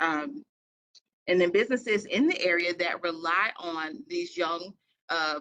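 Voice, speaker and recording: In an American accent, a woman talks at a fairly slow pace with lively intonation, her fairly low voice carrying a bright, sharp tone. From rural Eastern North Carolina. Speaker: advocacy committee presenter. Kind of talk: committee meeting presentation.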